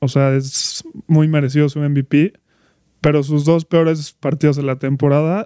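A man's fairly high pitch and dark, mellow tone come through in monotone, flat intonation at a fairly slow pace, with a dry, close sound and no echo. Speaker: sports podcast co-host. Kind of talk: casual chat.

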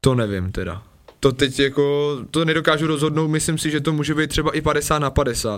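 Here a man speaks in a fairly high voice at a fairly quick pace. His pitch varies in an ordinary way. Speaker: professional soldier and former biathlete. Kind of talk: casual chat. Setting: radio studio. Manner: fast.

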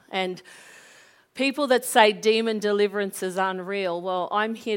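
In an Australian accent, a woman speaks with an animated tone at a medium pitch, her pitch varying in an ordinary way. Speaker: pastor. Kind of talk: sermon. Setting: church.

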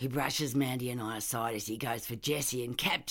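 Fairly even intonation throughout some plain reading aloud.

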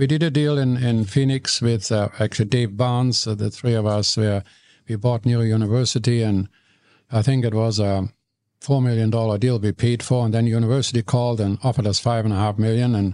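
A man with a German accent speaks at a medium pitch in a dark, mellow tone, his intonation fairly even and his loudness very even, the sound dry and close with no echo. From Germany, Cologne. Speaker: real estate investor and radio commentator. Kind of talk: casual interview chat.

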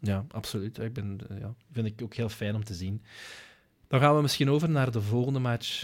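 A man speaks with a Flemish accent at a medium pitch, with ordinary pitch variation and a moderate pace. The recording is very clean, with a silent background. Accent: Flemish Dutch. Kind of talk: casual chat.

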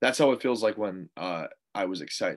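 On a very clean recording with silence behind him, a man talks. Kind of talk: casual interview chat. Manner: nervous energy, hesitant, filler words.

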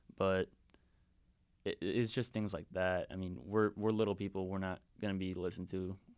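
A man's very deep, low voice with fairly even intonation, a fairly quick pace and long, frequent pauses, on a very clean recording with a silent background. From Wisconsin, US. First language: Spanish.

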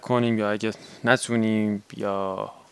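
A man speaks with a flat, monotone intonation. His voice is fairly low. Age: 20s. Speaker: podcast host and graduate student. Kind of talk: personal monologue.

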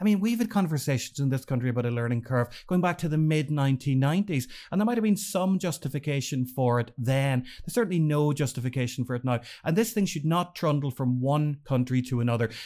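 A man with an Irish accent speaks very fast with lively intonation and a fairly high pitch. His tone is dark and mellow, on a very clean recording with a silent background. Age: 40s. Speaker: newspaper editor. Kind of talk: casual chat.

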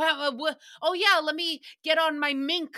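A woman's high-pitched, raised, projected voice with a bright, sharp tone at a moderate pace. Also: dry, close sound with no echo. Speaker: podcast host recapping a radio show. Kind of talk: casual solo commentary. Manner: animated.

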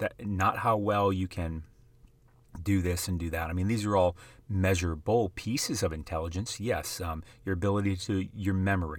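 In a very clean recording with a silent background, a man with an American accent speaks in a very deep, low pitch with fairly even intonation at a moderate pace. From US Midwest, South Dakota. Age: 30s. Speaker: sports card investing podcaster. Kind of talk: casual monologue.

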